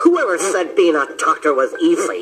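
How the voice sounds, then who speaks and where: A man performs a cartoonish character voice. He keeps a moderate pace. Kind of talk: cartoon voice acting. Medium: audio drama. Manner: blustery, boastful.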